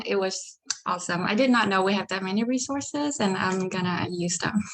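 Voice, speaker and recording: With a slight Vietnamese accent, a woman speaks with ordinary pitch variation. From Vietnam, Ho Chi Minh City. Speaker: psychology PhD student. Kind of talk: presentation.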